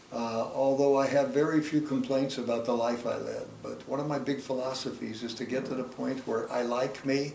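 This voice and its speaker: Fairly high pitch from a man at a moderate pace, noticeable background noise behind him. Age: 80s+. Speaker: organizational trainer. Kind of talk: interview answer.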